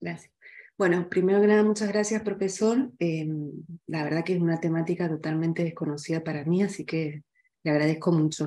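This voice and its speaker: Over a quiet background, a woman talks at a very fast pace in a fairly low pitch, with a dark, mellow tone and ordinary pitch variation. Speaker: audience member. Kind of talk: Q&A question. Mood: polite, thoughtful. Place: home room. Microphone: video call.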